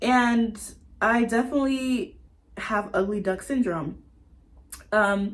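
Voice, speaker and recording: A woman with an American accent, fairly high-pitched and somewhat breathy, with ordinary pitch variation, a very slow pace, and long, frequent pauses. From US South, Atlanta, Georgia. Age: 20s. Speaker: vlogger. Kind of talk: casual personal vlog monologue.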